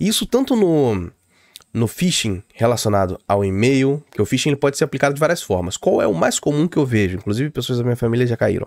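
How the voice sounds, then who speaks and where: A man at a fairly quick pace, lively in intonation and very even in loudness, with a dry sound and no echo. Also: quiet background. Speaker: tech tutorial youtuber; security explainer or streamer. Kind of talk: tutorial. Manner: fast; casual, hesitant fillers.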